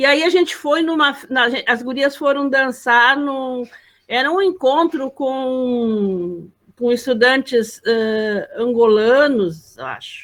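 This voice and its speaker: Her voice is high-pitched. The woman speaks at a very slow pace. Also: ordinary pitch variation. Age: 70s. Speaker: event participant, elder. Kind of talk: personal anecdote at online literary gathering. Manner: halting, many repetitions.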